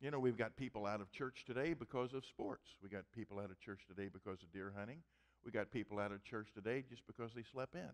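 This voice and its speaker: The speaker has a Midwestern American accent and talks at a very fast pace, with ordinary pitch variation. Loudness swings widely over a quiet background. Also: man. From US Midwest (Missouri). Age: 70s. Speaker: pastor. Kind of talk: sermon. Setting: church. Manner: humorous. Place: church.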